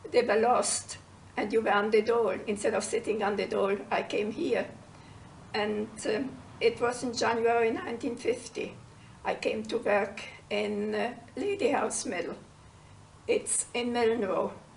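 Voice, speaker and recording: This woman has a German accent and speaks at a fairly slow pace. Her speech is broken by long, frequent pauses. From Sudetenland, German refugee. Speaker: former mill worker. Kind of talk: oral history interview.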